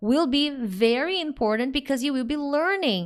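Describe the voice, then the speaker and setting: A woman speaks in a Brazilian accent. Her pitch is high. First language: Portuguese. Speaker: English teacher. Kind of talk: live online lesson. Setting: live stream. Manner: normal pace, not fast.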